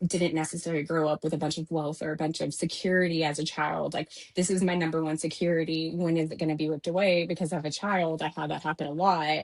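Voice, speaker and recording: A woman with an American accent talks at a very fast pace. Her pitch sits fairly low for a woman, with fairly even intonation. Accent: slight Texas-Georgia twang. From Texas. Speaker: new home sales professional. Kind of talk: interview conversation.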